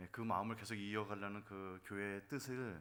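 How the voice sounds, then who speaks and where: With fairly even intonation, a man speaks in a fairly low pitch. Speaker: pastor. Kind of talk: sermon.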